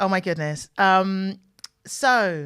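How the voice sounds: Her tone clear, smooth and fairly bright, a woman with a medium pitch talks at a slow pace.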